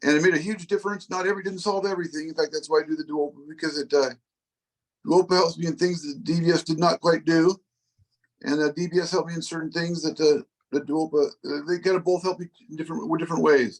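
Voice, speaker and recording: Very fast delivery with fairly even intonation. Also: man, high pitch for a man. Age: 60s. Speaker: Parkinson's patient with deep brain stimulation. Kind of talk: support group Q&A. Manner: halting, many repetitions.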